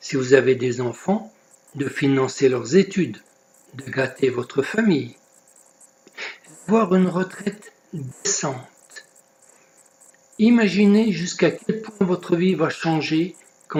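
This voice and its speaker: A man speaks very slowly with lively intonation and long, frequent pauses. Noticeable background noise runs underneath. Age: 70s. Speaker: network marketing recruiter. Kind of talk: sales pitch.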